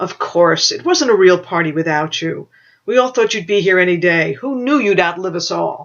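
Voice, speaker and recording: This put-on character voice has a middle pitch and a moderate pace. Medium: read story. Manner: gentle, warm.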